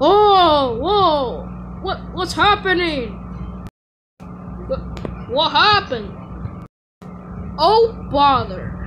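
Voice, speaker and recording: Someone doing a put-on character voice talks at a very slow pace with a high pitch. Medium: voice reel. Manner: pompous, boastful.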